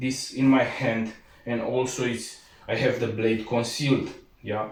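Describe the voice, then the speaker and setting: Amid noticeable background noise and audible room echo, a man speaks at medium pitch with monotone, flat intonation. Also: fairly slow pace. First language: not English. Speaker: martial arts instructor. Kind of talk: tutorial. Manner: halting, frequent fillers.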